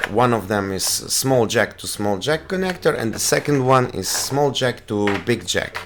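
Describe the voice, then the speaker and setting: A man with a Polish accent, plus noticeable background noise. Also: medium pitch for a man, lively intonation, moderate pace, hardly any pauses. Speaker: tech reviewer. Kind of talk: product review. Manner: halting.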